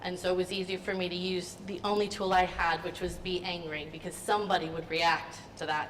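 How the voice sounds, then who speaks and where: Noticeable background noise sits under a fairly quick voice with monotone, flat intonation. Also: woman. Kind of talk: testimony talk. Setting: forum event with audience. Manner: varies between loud and quiet; talkative, many 'um' fillers.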